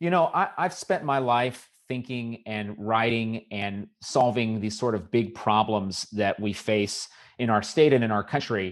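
Against a quiet background, a man with an American accent speaks at a medium pitch and fairly slow pace, with ordinary pitch variation and hardly any pauses. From Southern California. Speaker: political candidate and policy commentator. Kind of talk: interview. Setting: remote call from home.

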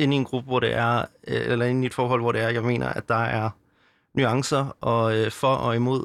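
This very clean recording has a silent background. A man speaks at medium pitch with monotone, flat intonation. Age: 20s. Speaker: anti-abortion youth organizer and theology student. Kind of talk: interview. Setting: studio. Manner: halting, many fillers.

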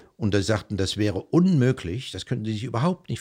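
In a very clean recording with a silent background, a somewhat breathy man speaks at a fairly quick pace with ordinary pitch variation. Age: 60s. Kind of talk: casual interview. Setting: living room at home.

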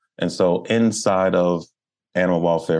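A man's very deep, low voice in an American accent, monotone and flat, at a fairly slow pace. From Baltimore, US. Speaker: animal welfare nonprofit director and wildlife photographer. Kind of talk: interview conversation.

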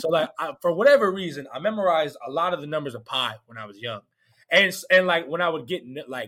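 A man with an American accent speaks at a very fast pace and a high pitch. His pitch swings very widely and his loudness swings a lot. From Georgia, US South. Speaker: comedian. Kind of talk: casual chat.

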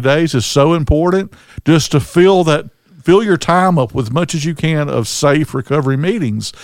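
A man's normal speaking voice, fairly high in pitch, at a moderate pace with ordinary pitch variation. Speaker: recovery podcast co-host. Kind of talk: casual chat. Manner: relaxed, conversational.

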